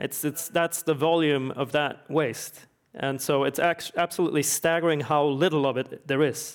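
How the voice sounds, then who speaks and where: A man with a Swedish accent speaks at a fairly high pitch and a moderate pace, his intonation fairly even. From Sweden. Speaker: energy researcher and author. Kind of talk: panel discussion.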